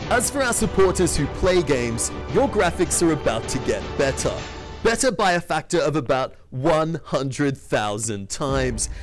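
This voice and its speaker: Moderate pace, very wide pitch swings, and an Australian accent, with music in the background. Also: man. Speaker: tech company CEO. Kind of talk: tech demo narration.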